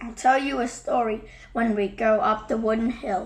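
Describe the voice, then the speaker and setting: Over light background noise, a woman uses a put-on character voice that is raspy and fairly high, with fairly even intonation at a moderate pace. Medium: read story. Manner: warm, teasing.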